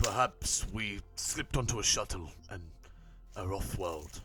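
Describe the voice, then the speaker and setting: Over clear background noise, a man does a put-on character voice at a fairly low pitch, speaking fairly slowly with ordinary pitch variation. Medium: actual play. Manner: formal, measured.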